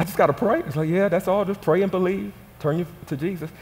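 A high-pitched man shouting in an animated tone at a very fast pace. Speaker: pastor. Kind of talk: sermon, call-and-response church preaching. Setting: stage with audience. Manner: animated, rousing the congregation to shout back; folksy, repetitive emphasis with direct audience prompts. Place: church. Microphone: headset.

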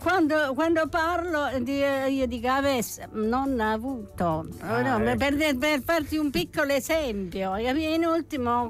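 A fairly slow pace with very even loudness, in a dry sound with no echo and faint music in the background. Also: woman. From Taranto, Puglia. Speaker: actress. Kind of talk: radio interview answer. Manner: lively, witty. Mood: lively, chatty. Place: studio. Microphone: studio mic.

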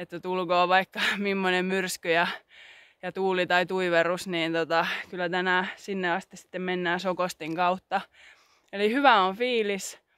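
The background is quiet and the sound is dry with no echo. A woman speaks at a fairly slow pace. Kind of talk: casual vlog chat. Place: open country. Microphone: phone near.

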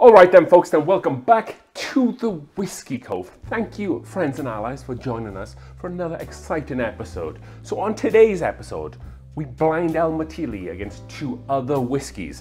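A man speaks at a moderate pace with big swings in loudness, faint music playing in the background. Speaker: whiskey reviewer host. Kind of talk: casual review commentary. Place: bar. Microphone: lapel.

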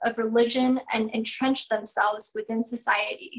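Against a quiet background, a woman with a high pitch talks at a moderate pace, her pitch varying in an ordinary way. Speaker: event host. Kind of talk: formal welcome speech. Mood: warm, cheerful. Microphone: video call.

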